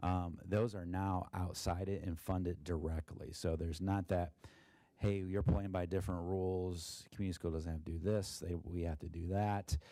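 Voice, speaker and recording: A man's very deep, low voice, dark and mellow, in a monotone, flat delivery, with a very clean recording and silent background. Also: moderate pace. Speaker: school district treasurer. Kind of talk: financial report presentation. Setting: board meeting. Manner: halting, many fillers.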